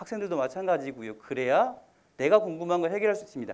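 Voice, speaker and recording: This man talks at a very fast pace with a high pitch. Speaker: college admissions consultant. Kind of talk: lecture. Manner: slurred diction.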